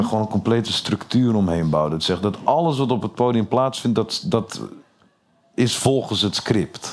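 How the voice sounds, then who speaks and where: This man talks at a moderate pace with medium pitch. His intonation is lively. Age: 30s. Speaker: comedian. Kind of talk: interview. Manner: halting.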